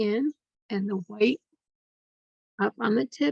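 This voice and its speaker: A quiet woman's voice, fairly high and gentle, with lively intonation at a very slow pace, dry and close with no echo. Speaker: art instructor. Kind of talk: tutorial. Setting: home studio, recording late at night. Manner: quiet, hushed; slow, gentle.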